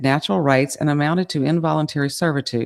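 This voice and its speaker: Speaking at a fairly quick pace, a woman with a very deep, low pitch is heard on a very clean recording with a silent background. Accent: Southern Louisiana. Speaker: podcast co-host. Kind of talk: casual chat; reading aloud.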